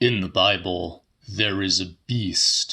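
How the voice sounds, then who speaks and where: A man's put-on character voice, fairly low in pitch, at a fairly slow pace with fairly even intonation. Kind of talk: pulpit sermon. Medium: read story. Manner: grave, solemn.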